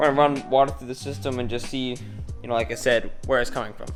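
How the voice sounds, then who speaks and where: The pitch varies in an ordinary way. Music plays in the background. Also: man. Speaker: car DIY enthusiast. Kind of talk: casual talk to camera.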